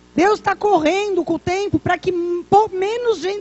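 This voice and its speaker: A woman with an extremely high pitch, talking at a moderate pace. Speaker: pastor. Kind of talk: sermon.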